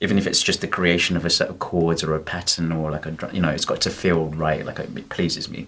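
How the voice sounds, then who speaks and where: A man with a very deep, low pitch talks at a very fast pace. His intonation is monotone and flat, with hardly any pauses. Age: 30s. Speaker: music producer and singer. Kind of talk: casual interview chat.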